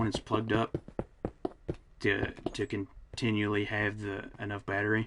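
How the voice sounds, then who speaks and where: Noticeable background noise sits under the recording. A man speaks at a fairly slow pace. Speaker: gaming streamer. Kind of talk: casual live-stream chat. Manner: halting, self-interrupting.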